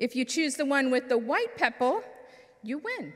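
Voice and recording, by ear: A woman's put-on character voice, high-pitched and fairly bright in tone, with big pitch swings. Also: moderate pace.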